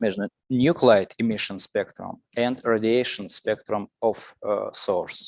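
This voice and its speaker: Very slowly, a man with a Russian accent speaks, the sound dry and close with no echo. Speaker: lecturer. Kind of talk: lecture. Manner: halting.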